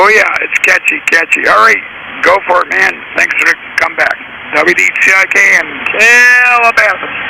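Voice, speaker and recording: A man speaks at a moderate pace with long, frequent pauses. His loudness is very even, and there is noticeable background noise. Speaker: amateur radio operator. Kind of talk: ham radio contact.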